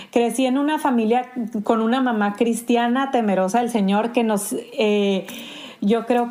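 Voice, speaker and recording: A woman speaks with a Sonoran accent at a fairly high pitch and with fairly even intonation. Noticeable background noise is present. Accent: Sonoran Mexican Spanish. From Sonora, Mexico. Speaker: pastor. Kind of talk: podcast interview. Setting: remote call from home.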